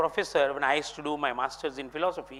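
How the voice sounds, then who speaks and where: This man speaks at a fairly high pitch with a Kannada accent. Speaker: philosophy speaker. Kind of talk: lecture. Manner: formal.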